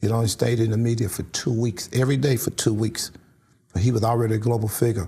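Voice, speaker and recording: Very fast and somewhat breathy, a man with an American accent speaks at medium pitch with fairly even intonation and a dark, mellow tone. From St. Louis, Missouri. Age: 60s. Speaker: community activist. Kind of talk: interview.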